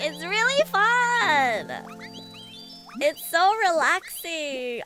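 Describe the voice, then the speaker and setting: Music plays in the background. The voice swings very widely in pitch. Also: woman. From Australia. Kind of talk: casual, conversational. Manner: enthusiastic, relaxed.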